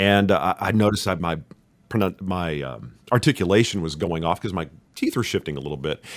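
In a very clean recording with a silent background, a man with an American accent and a very deep, low pitch talks at a fairly quick pace, his lively intonation carrying vocal fry. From Texas, Richardson (Dallas area). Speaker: podcast host and actor. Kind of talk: casual interview chat.

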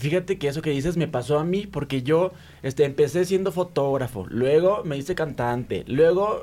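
At a fairly slow pace, a man talks in a Mexican accent with ordinary pitch variation. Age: 40s. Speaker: content creator. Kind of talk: casual chat.

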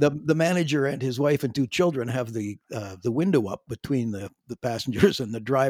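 Hardly pausing, a man with a western Canadian accent and a medium pitch talks at a fairly quick pace with ordinary pitch variation, in a dry, close sound with no echo. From western Canada, Calgary. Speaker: veteran drummer and singer. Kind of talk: interview. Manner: halting.

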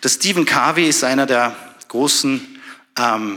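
There is noticeable background noise behind this man. He speaks at a medium pitch with ordinary pitch variation. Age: 30s. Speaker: doctor and church speaker. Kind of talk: sermon. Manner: animated.

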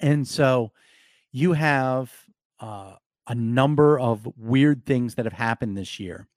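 At a very slow pace with long, frequent pauses, a man speaks at medium pitch with ordinary pitch variation. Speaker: sports radio reporter and podcast host. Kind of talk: solo podcast monologue.

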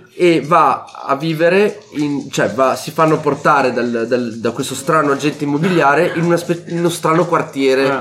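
Ordinary pitch variation and a moderate pace over noticeable background noise. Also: man, fairly high pitch for a man. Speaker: board game podcast host. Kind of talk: casual chat.

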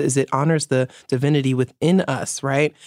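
In a very clean recording with a silent background, a woman with a New York accent speaks in a very deep, low voice, the sound dry and close with no echo. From New York City (Bronx). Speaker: feminist writer and activist. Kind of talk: interview.

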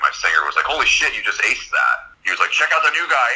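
Here a man talks at a very fast pace in a Californian accent. Noticeable background noise runs under his voice. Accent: American, Californian. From Southern California, Los Angeles. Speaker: rock guitarist. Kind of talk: casual interview.

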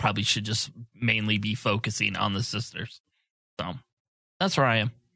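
This man has a bright, sharp tone and a fairly low pitch. He talks at a moderate pace with fairly even intonation. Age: 30s. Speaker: podcast co-host. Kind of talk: casual chat. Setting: studio.

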